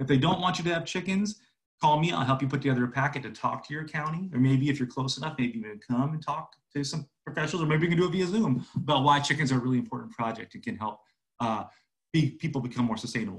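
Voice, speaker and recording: A man speaks at a very fast pace with a fairly high pitch. His voice is somewhat breathy, with lively intonation. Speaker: agricultural extension educator. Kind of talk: lecture. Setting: video call.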